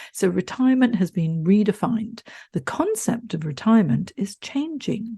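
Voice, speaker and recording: Over a quiet background, a woman with a dark, mellow tone and a somewhat breathy voice speaks at a moderate pace, her pitch swinging very widely. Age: 60s. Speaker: career coach. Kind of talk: podcast monologue. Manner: animated.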